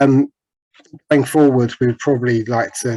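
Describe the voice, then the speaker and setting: This man's voice is somewhat breathy, moving at a fairly quick pace with fairly even intonation. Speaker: webinar presenter. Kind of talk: presentation.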